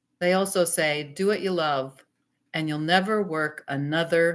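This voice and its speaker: At a fairly slow pace, a woman speaks in an animated tone. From North Dakota. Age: 60s. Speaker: pastor and digital marketer. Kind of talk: live stream talk to viewers. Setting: live stream from home computer.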